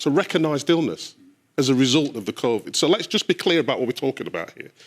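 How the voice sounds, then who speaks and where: At a very fast pace, a man with a fairly high pitch, vocal fry and lively intonation speaks in a very clean recording with a silent background, the sound dry and close with no echo. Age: 60s. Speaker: panellist. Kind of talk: heated debate. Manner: animated.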